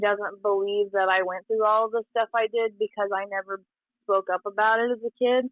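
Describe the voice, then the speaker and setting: A woman with an unremarkable speaking voice talks at a moderate pace. Her pitch is fairly high and her intonation fairly even. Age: 20s. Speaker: young mother-to-be sharing life story. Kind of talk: casual interview chat.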